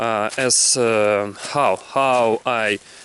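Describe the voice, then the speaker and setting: A man with a Russian accent speaks in a monotone, flat intonation over noticeable background noise. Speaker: English learner vlogger. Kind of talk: casual vlog monologue. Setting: outdoors in a forest walking a dog. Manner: halting, many fillers and repetitions.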